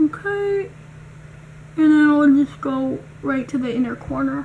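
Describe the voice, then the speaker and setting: Speaking softly, a woman can be heard through noticeable background noise. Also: fairly slow pace. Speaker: beauty youtuber. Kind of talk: tutorial. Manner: casual; soft-spoken.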